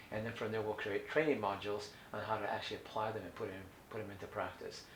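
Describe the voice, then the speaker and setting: A man talks at a very fast pace with an American accent and ordinary pitch variation. The room echo is audible. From US West Coast (Orange County, California). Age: 60s. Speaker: holistic health educator. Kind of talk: educational talk. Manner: halting, many fillers and restarts.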